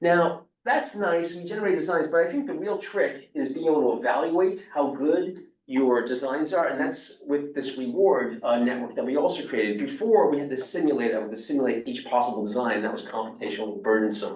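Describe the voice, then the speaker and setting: Amid audible room echo, a man with a New York accent talks at a fairly quick pace in a fairly high pitch with very wide pitch swings. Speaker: robotics professor. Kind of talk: lecture.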